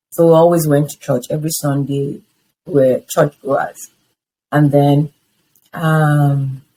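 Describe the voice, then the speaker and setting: Speaking with a Nigerian accent in a dark, mellow tone, the voice moves at a fairly slow pace with monotone, flat intonation and long, frequent pauses. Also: woman, very deep, low pitch for a woman. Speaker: interviewee sharing life story. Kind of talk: testimony.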